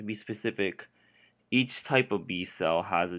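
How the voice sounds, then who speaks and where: The recording is very clean, with a silent background. A man speaks at a moderate pace with a fairly low pitch. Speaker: student. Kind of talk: educational explainer narration. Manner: unenthusiastic.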